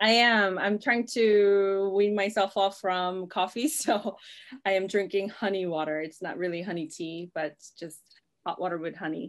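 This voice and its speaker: A woman speaks with an American accent at a moderate pace. Her pitch varies in an ordinary way against a quiet background. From South Korea. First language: Korean. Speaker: orchestra conductor. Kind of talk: casual chat. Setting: video call. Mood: relaxed, smiling. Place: home room. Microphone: video call.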